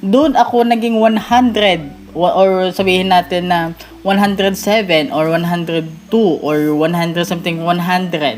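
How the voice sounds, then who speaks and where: A woman's medium-pitched voice with noticeable background noise and audible room echo. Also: ordinary pitch variation, moderate pace. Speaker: gaming youtuber. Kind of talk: casual vlog talk to viewers. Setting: at home at night, relative's house.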